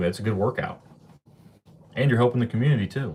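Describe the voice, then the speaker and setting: A man with an American accent talks at a very fast pace. His voice is somewhat breathy, with ordinary pitch variation. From Ohio, US Midwest. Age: 20s. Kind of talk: casual chat. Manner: animated.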